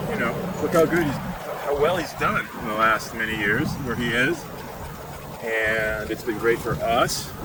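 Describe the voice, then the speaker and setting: Through audible room echo and noticeable background noise, a man with a relaxed tone speaks at a medium pitch and a fairly slow pace, with ordinary pitch variation. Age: 60s. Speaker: e-bike vlogger. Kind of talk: casual ride-along vlog narration. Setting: outdoors on an e-bike. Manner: relaxed, meandering.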